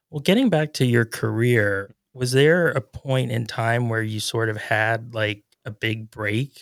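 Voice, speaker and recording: A man with an ordinary speaking voice talks at a fairly slow pace in a medium pitch, with lively intonation and a dry, close sound with no echo. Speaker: local news podcast host and publisher. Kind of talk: news roundup and interview.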